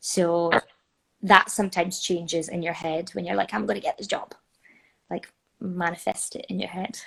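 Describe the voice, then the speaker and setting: A woman with a Scottish accent, fairly low in pitch, with vocal fry, ordinary pitch variation, a moderate pace, big swings in loudness and long, frequent pauses. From North East Scotland. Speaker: musical theatre performer. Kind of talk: interview answer. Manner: casual.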